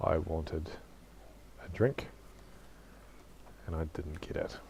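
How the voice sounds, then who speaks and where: The voice is somewhat breathy, moving at a fairly slow pace with ordinary pitch variation. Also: man, very deep, low pitch for a man. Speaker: gaming YouTuber. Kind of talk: casual gameplay commentary. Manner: casual, hesitant with fillers.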